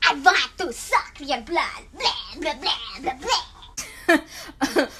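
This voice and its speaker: A high-pitched put-on character voice, menacing and theatrical, speaks at a very slow pace over clear background noise. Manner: mock-menacing, theatrical.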